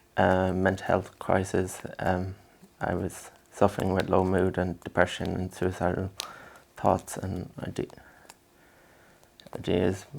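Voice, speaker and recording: With an Irish accent, a man speaks at a very slow pace in a very deep, low pitch, his intonation monotone and flat, broken by long, frequent pauses. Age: 20s. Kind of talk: interview. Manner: halting, many fillers.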